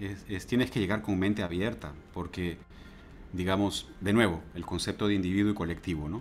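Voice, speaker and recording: A man speaks with a very deep, low pitch and fairly even intonation. Light background noise can be heard. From Peru. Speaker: university lecturer. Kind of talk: interview. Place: home room. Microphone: earbuds.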